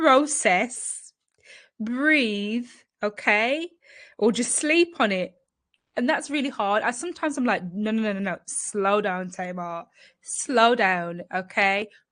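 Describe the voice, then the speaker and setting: Against a quiet background, a woman with a fairly high pitch sounds animated, her intonation lively. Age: adult. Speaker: YouTuber sharing personal experience. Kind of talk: live stream storytime chat. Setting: live stream. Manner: fast.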